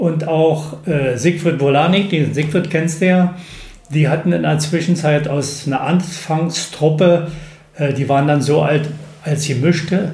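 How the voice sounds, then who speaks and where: A man speaks at a fairly slow pace in a fairly high pitch, with fairly even intonation and very even loudness. Audible room echo and noticeable background noise surround him. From eastern Germany, Bernau near Berlin. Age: 70s. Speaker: retired teacher and basketball club founder. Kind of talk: interview. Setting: in person.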